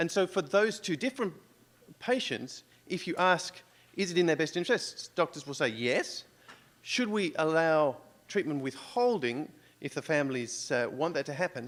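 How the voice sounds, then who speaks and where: A man's fairly high voice with lively intonation, at a moderate pace, in an Australian accent. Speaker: conference audience member. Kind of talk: audience question.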